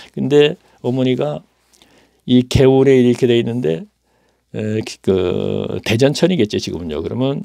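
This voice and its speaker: With a dark, mellow tone at medium pitch, a man talks at a moderate pace while his pitch swings very widely. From South Korea, Daejeon. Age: 70s. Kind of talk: testimony. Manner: halting, with fillers.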